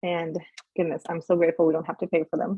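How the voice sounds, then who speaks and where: A woman is speaking. Her pitch is fairly low. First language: not English. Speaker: peer mentor. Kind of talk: online workshop presentation.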